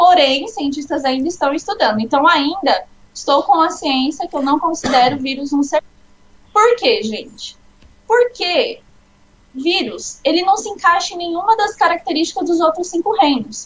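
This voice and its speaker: A woman with an extremely high pitch, lively intonation and a moderate pace. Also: big swings in loudness. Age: 20s. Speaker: biology student and Pathfinder instructor. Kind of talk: informal lesson in a live chat. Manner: casual, explanatory.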